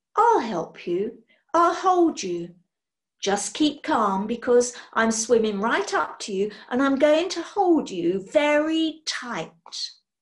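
A woman does a put-on character voice pitched high. She speaks at a slow pace with big pitch swings.

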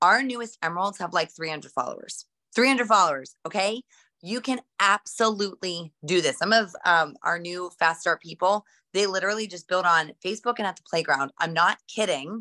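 With an American accent, a woman speaks in a bright, sharp, energetic tone. Her loudness swings widely over a quiet background. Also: ordinary pitch variation, moderate pace. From West Virginia. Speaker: network marketing seller. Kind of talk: motivational talk. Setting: video call. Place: home room. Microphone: video call.

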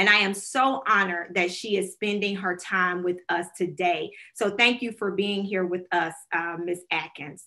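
A woman with a Southern US accent talks at a moderate pace with hardly any pauses. Her tone is bright and sharp, her intonation fairly even, and the background quiet. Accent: US South. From Alabama, Talladega County; Alabama. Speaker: nonprofit director and moderator; moderator. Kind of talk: panel moderation.

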